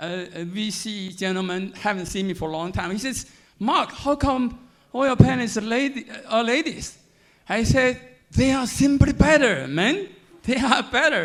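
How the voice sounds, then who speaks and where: In a strong Chinese accent, the speaker moves at a moderate pace with lively intonation and big swings in loudness. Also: man, extremely high pitch for a man. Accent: heavy Chinese. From mainland China. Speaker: panel moderator, biotech executive. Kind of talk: panel moderation at conference. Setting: stage with audience. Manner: animated.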